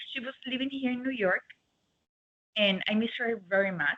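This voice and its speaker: With an Argentine accent, a woman talks at a fairly high pitch with ordinary pitch variation. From Argentina. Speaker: dog grooming salon owner. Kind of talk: interview. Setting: video call.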